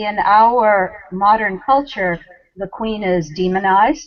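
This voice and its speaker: Ordinary pitch variation in a woman's voice of medium pitch. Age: 60s. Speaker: spiritual leader. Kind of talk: interview. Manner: hesitant with fillers.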